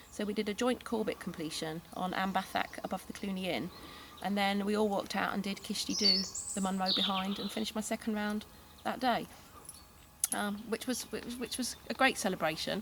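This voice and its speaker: A woman with an English accent speaks at a medium pitch and a fairly quick pace. Her intonation is fairly even, and there is noticeable background noise. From England. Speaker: hillwalker. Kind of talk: interview. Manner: casual.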